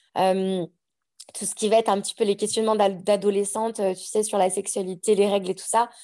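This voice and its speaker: A woman with a dark, mellow tone and medium pitch talks at a fairly quick pace in a monotone, flat intonation. Her loudness swings widely against a quiet background. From France, Savoie (Annecy). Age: 30s. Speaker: podcaster. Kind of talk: casual chat.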